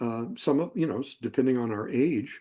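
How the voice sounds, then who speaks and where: A man talks in a Texan accent at a fairly quick pace. His pitch is medium with ordinary variation, and his tone is dark and mellow. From Texas, Fort Worth area. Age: 70s. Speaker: retired psychologist and herp naturalist. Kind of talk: presentation with slides. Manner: halting, many fillers and restarts.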